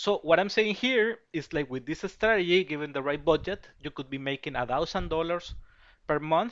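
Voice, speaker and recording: A man speaks with a Spanish accent. His voice is fairly high in pitch. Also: moderate pace. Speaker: betting tipster. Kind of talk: sales pitch. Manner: halting, many fillers and repetitions.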